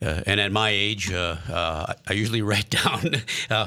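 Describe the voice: At a moderate pace, a man speaks with a bright, sharp tone, a fairly low pitch and ordinary pitch variation.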